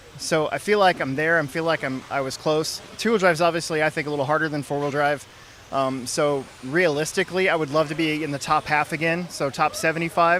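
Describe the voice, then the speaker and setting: Fairly high male voice at a fairly quick pace, fairly even in intonation, against noticeable background noise. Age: 40s. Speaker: RC car racer. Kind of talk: interview.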